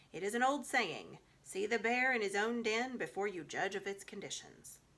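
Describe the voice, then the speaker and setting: A female-sounding, croaky put-on character voice sits at a medium pitch. The pace is moderate. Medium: read story. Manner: sententious, quotes proverbs.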